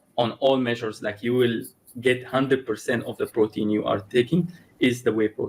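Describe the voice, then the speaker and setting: Speaking at a fairly quick pace with a non-native accent, a man keeps a medium pitch and fairly even intonation. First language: not English. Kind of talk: conversational interview. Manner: halting, with many repetitions and restarts.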